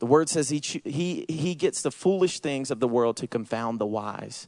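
A man speaks at a moderate pace with a Southern accent. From US South, Georgia. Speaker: missions and outreach pastor. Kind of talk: sermon. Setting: church.

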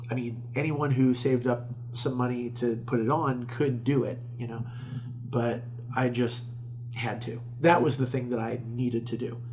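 Over music in the background, a man speaks with an American accent in a flat, monotone way. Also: medium pitch for a man, moderate pace. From Florida, Tampa area. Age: 30s. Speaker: stand-up comedian and festival organizer. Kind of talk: casual interview chat.

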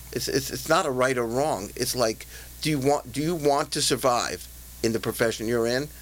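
A man's medium-pitched voice with ordinary pitch variation and vocal fry. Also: moderate pace. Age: 60s. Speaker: executive coach and trainer. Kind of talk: interview.

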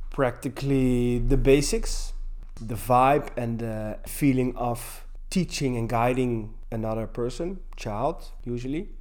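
Very slow speech with ordinary pitch variation and audible room echo. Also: man, medium pitch for a man. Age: 40s. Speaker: gym teacher. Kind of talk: interview. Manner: halting. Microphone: poor sound quality in places.

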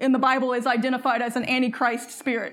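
Moderate pace in a Southern US accent. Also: woman. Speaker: preacher. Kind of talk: sermon. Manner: animated.

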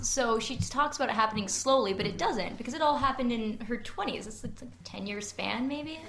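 A woman's fairly high voice with ordinary pitch variation at a fairly quick pace, against noticeable background noise. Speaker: book club co-host. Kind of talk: live book discussion with audience. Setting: live event with audience.

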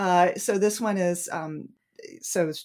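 A woman talks at a fairly slow pace in an American accent. The recording is very clean, with a silent background. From New England, US. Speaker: romance author. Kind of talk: casual interview chat.

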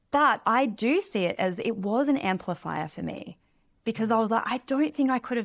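This very clean recording with a silent background features a woman with an Australian accent speaking at a moderate pace in a fairly high voice with ordinary pitch variation. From Australia, small beach town. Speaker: money mentor and author. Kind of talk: casual interview.

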